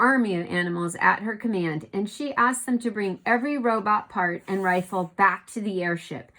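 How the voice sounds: The pitch moves in an ordinary way in a natural reading voice.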